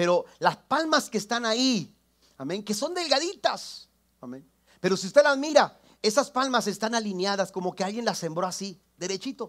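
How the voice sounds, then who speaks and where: High male voice with very wide pitch swings and big swings in loudness, moderate pace, quiet background. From Mexico, Tampico area; Mexico. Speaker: pastor; preacher. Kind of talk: sermon. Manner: halting, repeats words. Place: church.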